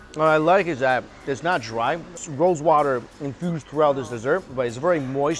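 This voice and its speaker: With ordinary pitch variation, a man talks while faint music sounds in the background. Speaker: food vlogger. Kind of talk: casual tasting commentary. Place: street. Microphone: lapel.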